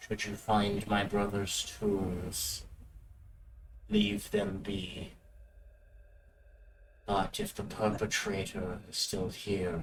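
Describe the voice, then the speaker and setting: In a put-on character voice, a man speaks at a fairly low pitch with a raspy sound, moving at a very slow pace with long, frequent pauses. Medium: actual play. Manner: grave, measured.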